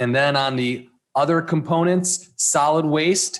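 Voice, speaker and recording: A man speaks with an American accent in a plain, everyday voice. His pace is fairly slow, with ordinary pitch variation. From Michigan. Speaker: town manager. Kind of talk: public meeting, reading ballot language and explaining items. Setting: town commission meeting.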